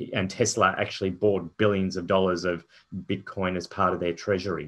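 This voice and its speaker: A man speaks with an Australian accent at a fairly low pitch. His intonation is monotone and flat, against a quiet background. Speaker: company founder and chairman. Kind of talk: investor presentation. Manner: halting, many fillers.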